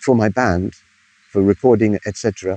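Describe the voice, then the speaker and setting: Dry and close with no echo, a man with an English accent has a dark, mellow tone at a fairly low pitch, speaking at a moderate pace with ordinary pitch variation. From England, Bristol. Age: 70s. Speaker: music historian and musician. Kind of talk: interview answer.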